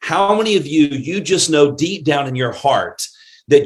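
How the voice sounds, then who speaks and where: Ordinary pitch variation marks speech that proceeds at a moderate pace. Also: man. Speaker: network marketing trainer. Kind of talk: motivational training talk. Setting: live Zoom and Facebook stream. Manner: animated.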